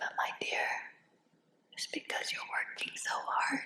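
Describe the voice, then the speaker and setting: A woman's soothing whisper over noticeable background noise. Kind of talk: hypnosis guided relaxation. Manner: whispered, soothing.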